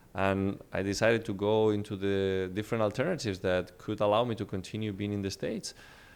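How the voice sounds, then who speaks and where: With a Spanish accent, a man with a fairly low voice speaks at a very fast pace with fairly even intonation, on a very clean recording with a silent background. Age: 20s. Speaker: real estate entrepreneur. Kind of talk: interview.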